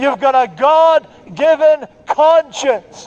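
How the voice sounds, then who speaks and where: Ordinary pitch variation from a male speaker. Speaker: street preacher. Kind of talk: open-air street preaching to passers-by. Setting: outdoors in a city street. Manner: loud, forceful, argumentative. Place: street.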